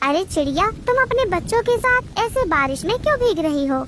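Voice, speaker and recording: A cartoonish character voice, female-sounding and extremely high in pitch, moves at a moderate pace with very wide pitch swings over clear background noise. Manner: gentle, soothing.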